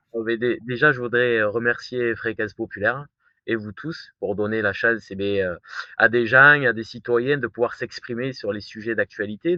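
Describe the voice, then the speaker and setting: Ordinary pitch variation marks this man's medium-pitched voice, delivered at a moderate pace with a southern French accent. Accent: southern French, sing-song. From southern France. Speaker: firefighter and new show host. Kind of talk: casual interview. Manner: hesitant, many fillers and repetitions.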